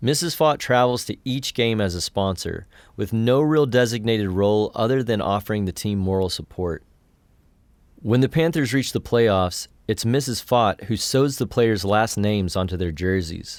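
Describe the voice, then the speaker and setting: An unremarkable speaking voice, a man with an American accent talks at a moderate pace with lively intonation in a very clean recording with a silent background. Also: medium pitch for a man. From West Texas. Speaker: podcast host. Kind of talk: scripted narration.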